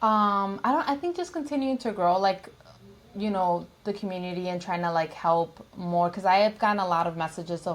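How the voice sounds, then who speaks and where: Her pitch sits in the medium range for a woman. It rises and falls in an ordinary way. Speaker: nail salon owner and nail tech. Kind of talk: podcast interview. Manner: fast-talking; casual with many fillers.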